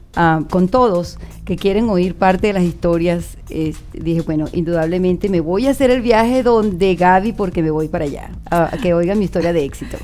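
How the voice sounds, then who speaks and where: A woman's fairly low voice with music in the background. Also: ordinary pitch variation, moderate pace. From Venezuela, Margarita Island. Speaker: university professor. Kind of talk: radio interview. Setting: radio studio.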